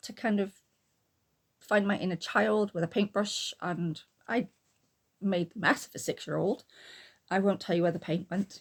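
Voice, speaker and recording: The speaker keeps a moderate pace but takes long, frequent pauses. The voice is somewhat breathy, with big swings in loudness. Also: woman, medium pitch for a woman, fairly even intonation. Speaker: booktuber and artist. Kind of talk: casual talk to camera.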